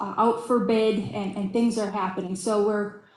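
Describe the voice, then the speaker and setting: Audible room echo around a woman's fairly high voice, its pitch varying in an ordinary way. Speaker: state transportation official. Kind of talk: conference presentation. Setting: video call.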